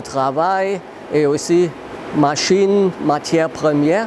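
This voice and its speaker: A man speaks very slowly in a high voice with a German accent and ordinary pitch variation. Noticeable background noise runs underneath. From Germany. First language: German (speaking French). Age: 60s. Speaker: master brewer. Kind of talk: interview answers. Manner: halting, with hesitations and repetitions.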